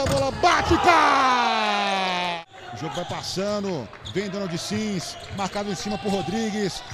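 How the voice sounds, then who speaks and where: Delivery is fairly slow. Background noise is noticeable throughout. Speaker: basketball commentator. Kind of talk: live sports commentary. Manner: animated, exclaiming.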